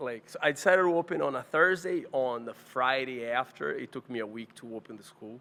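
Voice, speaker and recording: Over noticeable background noise, a man at medium pitch talks at a fairly quick pace with lively intonation, hardly any pauses and big swings in loudness. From Brazil. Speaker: martial arts instructor. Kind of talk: casual chat.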